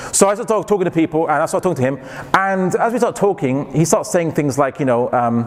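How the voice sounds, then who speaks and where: Noticeable background noise sits under this recording. A man talks at a very fast pace with a fairly high pitch. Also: lively intonation, hardly any pauses. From England. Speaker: Islamic lecturer. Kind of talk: lecture.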